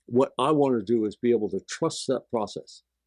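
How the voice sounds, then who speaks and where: With a dark, mellow tone and a medium pitch, a man speaks at a fairly slow pace with ordinary pitch variation, the sound dry and close with no echo. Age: 80s+. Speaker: percussionist and breathwork guide. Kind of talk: interview conversation. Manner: halting, frequent fillers and restarts.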